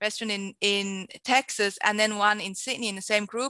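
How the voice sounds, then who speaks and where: With a slight Swiss accent, a woman speaks at a moderate pace in a bright, sharp tone and fairly high pitch, her intonation monotone and flat, the sound dry and close with no echo against a quiet background. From Switzerland. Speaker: entrepreneur and marketing mentor. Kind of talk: podcast interview answer.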